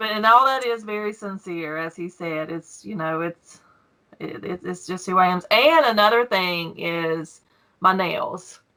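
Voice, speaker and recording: Speaking fairly slowly with a Southern US accent, a woman uses a bright, sharp tone at medium pitch, with ordinary pitch variation and big swings in loudness. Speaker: YouTube coin collector. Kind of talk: casual interview. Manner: emotional, cries easily.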